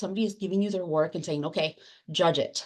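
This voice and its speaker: A woman speaks very fast in a Spanish accent, her medium pitch showing ordinary variation. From Latin America, immigrant to the US. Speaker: academic librarian and book editor. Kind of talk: panel discussion. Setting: webinar. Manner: hesitant, with fillers and repeated words.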